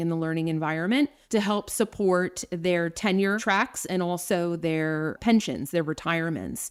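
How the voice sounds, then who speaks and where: In an American accent, a woman with a medium pitch talks at a moderate pace with ordinary pitch variation. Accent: New Jersey and slight New York City. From New Jersey, US. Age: 40s. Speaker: nurse and nursing education director. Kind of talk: podcast interview. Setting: remote call.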